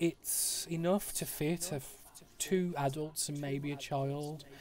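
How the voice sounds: Speaking slowly with fairly even intonation, a man uses a fairly high pitch and a slightly mellow tone.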